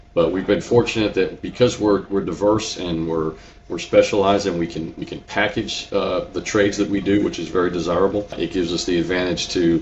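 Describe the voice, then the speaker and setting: With noticeable background noise, a man with a slight New England accent talks at a fairly low pitch and a fairly quick pace, with ordinary pitch variation. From Connecticut, New England. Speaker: business owner, contractor. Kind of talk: interview. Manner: repetitive, halting with repeated words.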